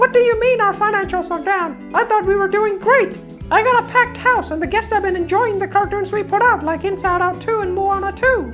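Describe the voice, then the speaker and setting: A squeaky, cartoonish character voice moves at a fairly quick pace. Clear music plays in the background. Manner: chipper, upbeat.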